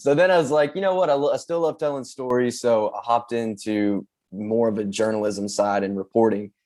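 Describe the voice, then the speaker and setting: The voice has a Southern US accent, a fairly quick pace and lively intonation. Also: man, medium pitch for a man. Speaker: social media manager. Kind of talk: interview podcast.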